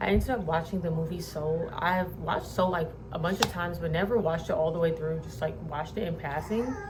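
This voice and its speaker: A woman's fairly low voice at a very fast pace with ordinary pitch variation, plus noticeable background noise and audible room echo. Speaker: crochet vlogger. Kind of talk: casual vlog talk. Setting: home, at a desk in her bedroom. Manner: whispering.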